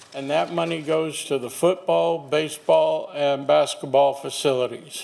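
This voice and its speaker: A man talks at a fairly slow pace, his fairly high pitch making very wide swings. There is noticeable background noise. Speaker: public speaker, former county commissioner. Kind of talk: public comment. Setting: podium microphone at meeting. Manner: halting.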